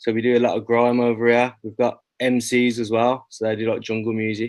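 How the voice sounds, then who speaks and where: Speaking with a Birmingham accent, a man keeps a monotone, flat intonation at a medium pitch and a fairly quick pace. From England, Birmingham. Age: 20s. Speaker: rapper. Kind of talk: interview. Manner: casual.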